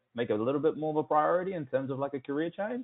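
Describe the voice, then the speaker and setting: The speaker talks at a very fast pace with an Australian accent. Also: man. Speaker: sales rep. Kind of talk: sales call. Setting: phone call. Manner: casual, filler-heavy.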